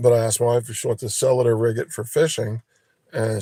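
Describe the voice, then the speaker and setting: A man speaks at a fairly quick pace in a dark, mellow tone. He sounds somewhat breathy, with a dry, close sound and no echo. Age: 60s. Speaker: live streamer. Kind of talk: casual chat.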